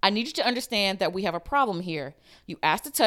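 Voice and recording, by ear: Someone is reading aloud in a natural voice. The words come in a natural reading style.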